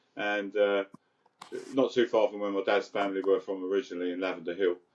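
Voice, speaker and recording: This man speaks with a London accent at a moderate pace. His pitch is fairly low. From London, England (Crouch End, north London). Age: 60s. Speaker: recovering addict sharing his story. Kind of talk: casual interview, personal story. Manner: halting, many repeated words and fillers.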